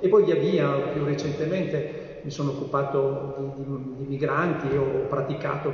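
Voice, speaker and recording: Fairly high male speech with noticeable background noise and audible room echo. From Turin, Italy. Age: 50s. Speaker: engineer and city councillor, mayoral candidate. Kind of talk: political debate.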